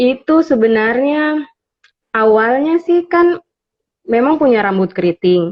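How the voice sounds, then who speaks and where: A woman talks very slowly in a high pitch, her voice making very wide pitch swings, with long, frequent pauses. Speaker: beauty content creator. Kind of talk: interview on livestream. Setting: Instagram live.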